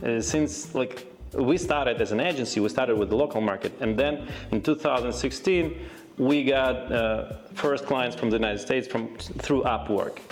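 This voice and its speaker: Over music in the background, a man talks at a moderate pace with medium pitch, ordinary pitch variation and very even loudness. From Ukraine. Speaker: SEO agency owner. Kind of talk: business podcast interview. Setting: office. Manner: halting, many fillers.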